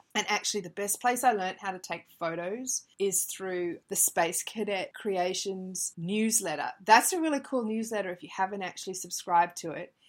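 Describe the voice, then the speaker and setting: A woman with an ordinary speaking voice talks at a moderate pace at medium pitch, with ordinary pitch variation, hardly any pauses and big swings in loudness, on a very clean recording with a silent background. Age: 30s. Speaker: craft podcast host. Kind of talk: casual solo podcast monologue.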